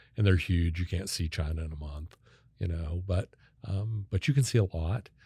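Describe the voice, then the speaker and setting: With an American accent, a man speaks at a moderate pace in a very deep, low pitch, his tone dark, mellow and somewhat breathy, with ordinary pitch variation, in a very clean recording with a silent background. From Kansas (Wichita). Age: 60s. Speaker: sales consultant and keynote speaker. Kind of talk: podcast interview.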